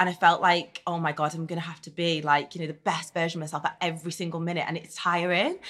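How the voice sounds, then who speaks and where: In a strong Liverpool accent, a woman with a fairly low pitch talks at a very fast pace in a flat monotone, with hardly any pauses. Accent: strong Liverpool (Scouse). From Netherlands, raised in Liverpool. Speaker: reality TV contestant and business owner. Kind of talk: casual interview. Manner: chatty, frequent fillers.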